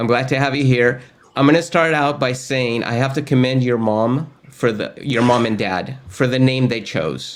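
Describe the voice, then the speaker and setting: At a moderate pace, a man talks with a Spanish accent. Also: medium pitch for a man, ordinary pitch variation. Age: old. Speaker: course host, tech educator. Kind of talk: casual interview chat.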